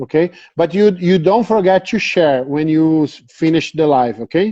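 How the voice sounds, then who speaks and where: A man with a Brazilian Portuguese accent, high in pitch, at a moderate pace, with ordinary pitch variation and very even loudness. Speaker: dog breeder. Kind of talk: interview. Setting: Instagram live video call. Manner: halting.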